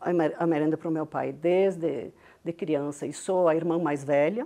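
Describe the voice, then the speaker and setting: A woman talks at a fairly slow pace. Her voice is fairly low in pitch, with a dark, mellow tone. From southern Brazil, Farroupilha, Rio Grande do Sul. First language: Venetian Italian (speaking Portuguese). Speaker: business founder. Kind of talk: TV interview.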